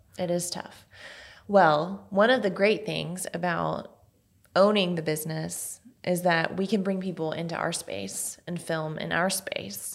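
A woman's fairly low voice with vocal fry, fairly even intonation and a fairly slow pace. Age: 30s. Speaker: podcast host. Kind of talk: casual chat. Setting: studio.

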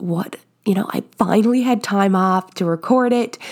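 On a very clean recording with a silent background, a woman at medium pitch speaks in an animated tone at a fairly slow pace, with ordinary pitch variation. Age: 20s. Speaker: fitness podcast host. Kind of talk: motivational monologue.

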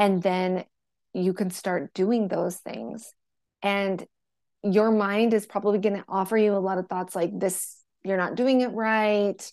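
An ordinary speaking voice from a woman at a medium pitch, fairly slow and fairly even in intonation, with a quiet background. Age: 40s. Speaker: menstrual and hormone health coach. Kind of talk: casual interview chat.

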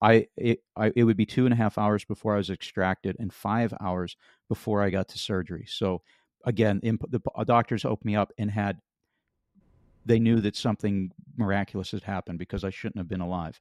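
The man talks at a very fast pace in a fairly low voice with an American accent and fairly even intonation. The sound is dry and close with no echo, over a quiet background. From western Pennsylvania. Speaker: author and accident survivor. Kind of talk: interview testimony.

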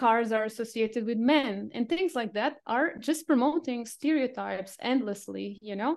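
A woman with a Portuguese accent speaks with hardly any pauses. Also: fairly high pitch for a woman, ordinary pitch variation, moderate pace, quiet background. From Portugal, Lisbon. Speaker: marketing freelancer. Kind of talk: interview. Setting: remote call from home.

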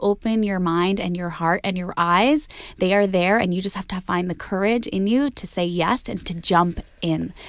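A woman in a Canadian accent speaks at a moderate pace with ordinary pitch variation, in a plain, everyday voice. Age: 30s. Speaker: entertainment reporter and podcast host. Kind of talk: casual interview chat; podcast monologue. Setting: studio (meditation space in Toronto).

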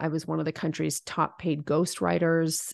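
In a dry, close recording with no echo, a woman with a normal speaking voice talks at a fairly quick pace in a fairly low pitch. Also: quiet background. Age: 40s. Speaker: business coach and founder. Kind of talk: interview.

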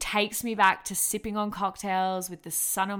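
In an Australian accent, a woman speaks at a moderate pace with a bright, sharp tone on a very clean recording with a silent background. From Australia, Melbourne. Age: 20s. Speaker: podcast host, personal trainer and nutritionist. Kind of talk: casual monologue. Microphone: professional mic.

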